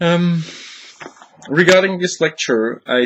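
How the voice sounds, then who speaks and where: A man with a non-native accent, at a fairly slow pace. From Switzerland. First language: not English. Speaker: lecturer. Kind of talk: recorded lecture. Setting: home office. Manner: hesitant, many fillers.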